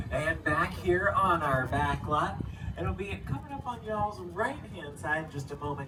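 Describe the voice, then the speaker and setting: Moderate pace against noticeable background noise. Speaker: tram tour guide. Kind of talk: live tour narration. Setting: PA system on a moving tram. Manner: loud.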